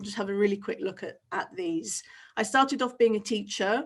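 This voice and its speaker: The setting is quiet. Her intonation, a woman's, stays fairly even. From Britain. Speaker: teacher trainer. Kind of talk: webinar presentation. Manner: casual, with frequent fillers. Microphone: webcam.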